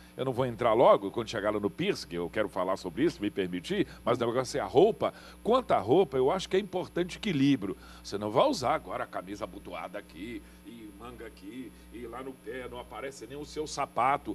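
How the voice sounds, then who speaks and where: Speaking fairly quickly, a man lets his loudness rise and fall in big swings. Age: 60s. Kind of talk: TV panel discussion. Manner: animated.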